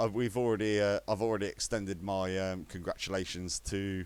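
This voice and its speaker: A man with an unremarkable speaking voice, fairly low-pitched, talks at a moderate pace in a very clean recording with a silent background. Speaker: sim racing league commentator. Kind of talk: live commentary wrap-up.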